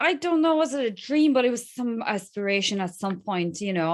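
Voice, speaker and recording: In a slight Polish accent, a woman speaks with lively intonation against a quiet background. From Poland. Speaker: crypto influencer. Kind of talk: podcast interview. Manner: halting.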